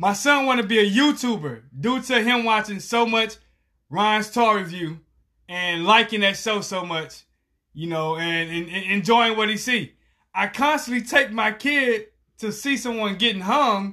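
A raised, projected voice with a bright, sharp tone moves at a fairly slow pace with ordinary pitch variation. The background is quiet. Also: man, high pitch for a man. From Texas, Galveston. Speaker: podcast co-host. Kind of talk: casual chat.

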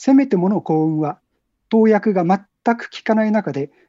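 Speaking fairly slowly, a woman uses a normal speaking voice at a medium pitch with lively intonation. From Tokyo area, Japan. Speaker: book cover designer. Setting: phone call.

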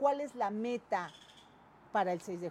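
A woman's fairly high-pitched voice with a dark, mellow tone. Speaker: interviewer, online news show host. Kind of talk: interview; reading viewer comments and greetings. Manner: halting, many fillers.

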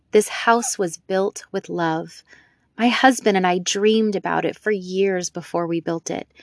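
An unforced reading voice with ordinary pitch variation plays over a quiet background.

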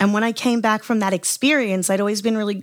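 With an Australian accent, a woman is heard on a very clean recording against a silent background. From Australia, southwest Sydney. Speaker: singer-songwriter. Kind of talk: casual interview chat. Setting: home studio.

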